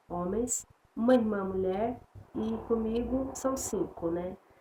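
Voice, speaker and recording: The woman's voice is somewhat breathy. She speaks at a very slow pace with ordinary pitch variation. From São Paulo, Brazil (born in Piauí, moved at 6-7). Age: 40s. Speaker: evangelical churchgoer giving testimony. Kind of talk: religious testimony. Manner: halting, many fillers and restarts.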